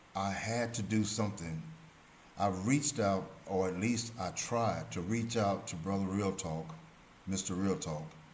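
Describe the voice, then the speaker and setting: In a room with audible echo, a man speaks at a fairly slow pace with a fairly low pitch and ordinary pitch variation. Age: 70s. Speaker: religious commentator. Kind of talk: religious teaching monologue.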